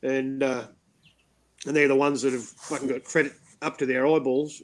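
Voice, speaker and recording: A man with an Australian accent at a moderate pace. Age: 50s. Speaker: talk show host. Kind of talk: casual chat.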